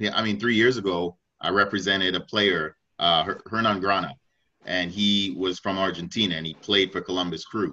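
Against a quiet background, a man with an American accent speaks at a moderate pace in a fairly low voice with a bright, sharp tone and fairly even intonation. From Washington, D.C. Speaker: youth soccer coach. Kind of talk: panel discussion. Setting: video call.

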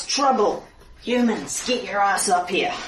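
Using a put-on character voice, a female-sounding voice comes across raspy at a fairly high pitch and a fairly slow pace.

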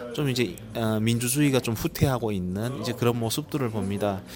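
Music plays in the background. The speaker talks at a fairly quick pace with fairly even intonation. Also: man. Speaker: human rights activist. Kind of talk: interview. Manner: halting, many fillers.

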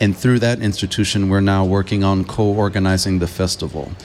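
With a Californian accent, a man speaks at a moderate pace and a fairly low pitch, his intonation fairly even. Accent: Californian American English. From US West Coast, Los Angeles. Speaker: film curator and researcher. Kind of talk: radio interview. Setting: festival live radio broadcast.

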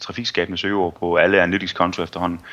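This man has a fairly low pitch, a bright, sharp tone and fairly even intonation. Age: 20s. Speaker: SEO consultant. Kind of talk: interview.

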